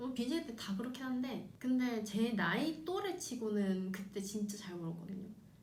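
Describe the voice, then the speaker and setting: A woman with a fairly high pitch talks with lively intonation and hardly any pauses, with audible room echo and noticeable background noise. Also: moderate pace. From South Korea, Busan. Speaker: announcer and former streamer. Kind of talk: interview. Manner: casual, frank.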